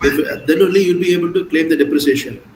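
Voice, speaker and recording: Noticeable background noise under a high-pitched male voice. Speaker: CA exam coaching teacher. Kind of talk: online lecture.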